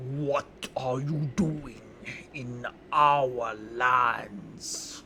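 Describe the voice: A put-on character voice at a low-to-middle pitch, with clear background noise behind it.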